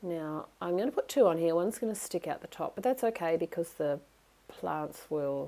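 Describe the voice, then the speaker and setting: Speaking at a moderate pace with an Australian accent, a woman uses lively intonation in a fairly low, dark, mellow voice. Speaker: craft demonstrator. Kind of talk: tutorial. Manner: chatty, enthusiastic.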